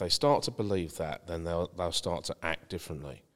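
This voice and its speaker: A man with a very deep, low pitch and a southeast English accent speaks at a very fast pace with ordinary pitch variation. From East Kent, England (Margate). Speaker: property consultant. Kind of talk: podcast interview.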